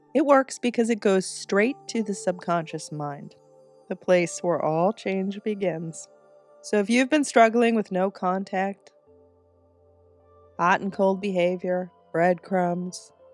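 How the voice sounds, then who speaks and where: Music plays in the background as a woman speaks at a medium pitch with ordinary pitch variation. She leaves long, frequent pauses. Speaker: manifestation coach and meditation guide. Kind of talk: guided meditation and instructional talk to camera.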